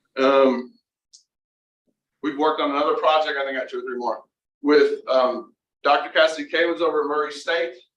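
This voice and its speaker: The speaker keeps a fairly quick pace and fairly even intonation but leaves long, frequent pauses. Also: man, fairly high pitch for a man. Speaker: university center director presenting research. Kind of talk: presentation to board meeting. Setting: meeting room with Zoom participants. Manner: fast.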